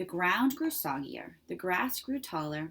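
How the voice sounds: A natural reading voice carries the clip.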